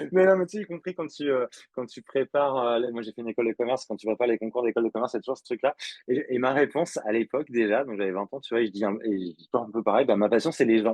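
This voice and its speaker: Talking at a very fast pace, a man's voice shows big swings in loudness. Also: medium pitch for a man, ordinary pitch variation. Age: 40s. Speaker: public speaker and facilitator on equality. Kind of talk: podcast interview. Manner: hesitant, many fillers.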